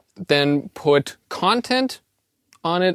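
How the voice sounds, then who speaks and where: A man speaks with a German accent, recorded with a dry, close sound and no echo. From Austria. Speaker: co-host intern. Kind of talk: casual chat.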